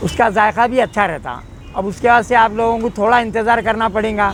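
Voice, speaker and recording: A man with a high pitch and fairly even intonation, noticeable noise in the background. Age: 60s. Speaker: mango trader. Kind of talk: interview.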